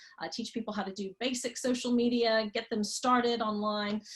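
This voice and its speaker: Somewhat breathy, a woman with an American accent speaks at a fairly high pitch with ordinary pitch variation. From Texas, US. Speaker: marketing consultant and tour guide. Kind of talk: online class for beginners.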